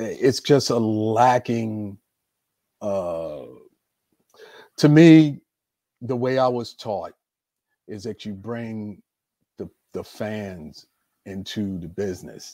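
Speaking at a very slow pace with long, frequent pauses, a man with a medium-pitched voice and a dark, mellow tone shows big swings in loudness and ordinary pitch variation. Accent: American. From US, Baltimore, Maryland. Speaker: retired professional wrestler. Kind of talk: casual interview.

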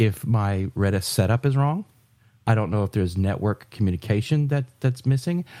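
The voice has a dark, mellow tone and lively intonation at a moderate pace, on a very clean recording with a silent background and a dry, close sound with no echo. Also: man. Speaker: podcast co-host, software developer. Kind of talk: casual chat. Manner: halting, stammers and restarts.

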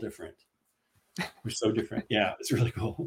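Somewhat breathy and medium-pitched, a man speaks at a fairly quick pace. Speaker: author. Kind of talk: casual interview chat.

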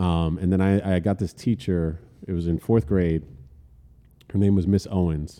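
In a New Jersey accent, a man with a very deep, low pitch and a dark, mellow tone speaks at a moderate pace, keeping his loudness very even and leaving long, frequent pauses. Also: fairly even intonation. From New Jersey, Elizabeth. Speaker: music industry entrepreneur, former hardcore singer. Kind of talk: casual chat. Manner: casual, halting with fillers.

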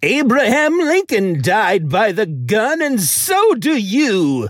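A put-on character voice with a menacing, theatrical tone moves very slowly at a fairly high pitch, swinging very widely in pitch.

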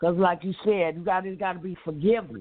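An unremarkable speaking voice from a woman, fairly low in pitch, with fairly even intonation at a moderate pace. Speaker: caller. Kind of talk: prayer request. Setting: phone call.

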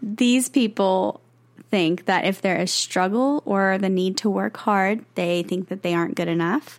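A woman speaks in a normal speaking voice at a medium pitch. Her pace is fairly slow, with ordinary pitch variation. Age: 20s. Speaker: podcast co-host, singer-songwriter. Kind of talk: casual chat; reading from notes.

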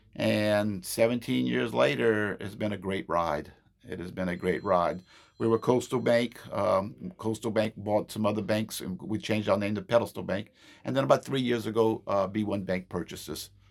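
Using lively intonation, a man speaks at a moderate pace in a fairly low pitch with vocal fry. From South Louisiana (Terrebonne/Lafourche area). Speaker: bank area manager. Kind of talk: casual interview.

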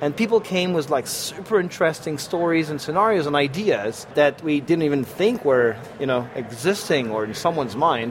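A man speaks with a French accent and fairly high pitch. Noticeable background noise is present. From France. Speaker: software program manager. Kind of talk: casual interview. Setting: live at a tech conference.

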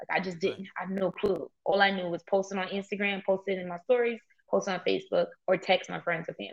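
An American-accented woman with a medium pitch and vocal fry talks at a very fast pace in a monotone, flat intonation, with big swings in loudness. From Brooklyn, New York. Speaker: entrepreneur and Airbnb host. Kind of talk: interview.

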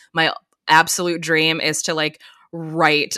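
Recorded with a dry, close sound and no echo, a woman speaks at a fairly low pitch. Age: 30s. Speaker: film writer specializing in horror. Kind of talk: casual chat. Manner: animated.

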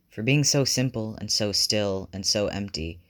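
The pitch varies in an ordinary way while the text is read aloud in a natural voice.

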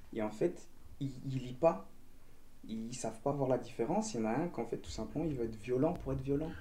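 A man's somewhat breathy voice at a very fast pace, with lively intonation and audible room echo. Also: medium pitch for a man. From Belgium. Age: 20s. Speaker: dancer and martial arts teacher. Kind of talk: casual chat.

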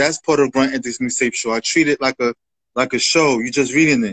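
An American accent comes through. The audio is dry and close, without any echo. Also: man. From Bronx, New York. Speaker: music promoter and reviewer. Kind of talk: casual interview. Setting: Instagram Live. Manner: halting, repetitive.

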